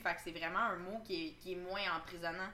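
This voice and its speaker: A woman with a medium pitch talks at a moderate pace, with audible room echo. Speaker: podcast host. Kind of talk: casual chat. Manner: animated.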